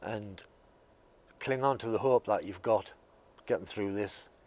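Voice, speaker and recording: The speech goes at a moderate speed. Its intonation is fairly even. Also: man. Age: 50s. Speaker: former patient. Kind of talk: testimony. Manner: halting, many fillers.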